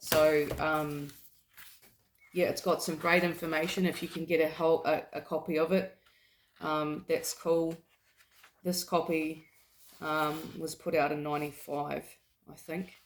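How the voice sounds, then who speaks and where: A woman with a very deep, low voice speaks in a New Zealand accent at a fairly slow pace. Her intonation is monotone and flat, with long, frequent pauses. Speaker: health vlogger. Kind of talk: casual talk to camera with reading aloud. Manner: halting, many fillers.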